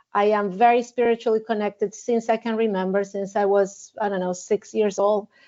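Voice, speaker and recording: A woman with a Spanish accent talks in a fairly high pitch. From Argentina. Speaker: wedding officiant and mindfulness teacher. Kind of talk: interview podcast. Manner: halting, many fillers and repetitions.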